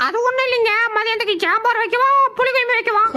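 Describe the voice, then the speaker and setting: A cartoonish character voice, female-sounding and extremely high in pitch, rattles along at a very fast pace. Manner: muttering complaints, sugary when caught.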